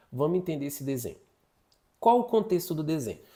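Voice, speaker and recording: On a very clean recording with a silent background, a man with a dark, mellow tone talks in lively intonation. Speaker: psychologist teaching an online course. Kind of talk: lecture. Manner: fast.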